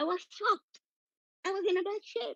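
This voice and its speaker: With a non-native accent, a woman speaks in a dry, close sound with no echo. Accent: noticeable non-native. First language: Arabic. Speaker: patient sharing experience of medical racism. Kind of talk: testimony. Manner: halting.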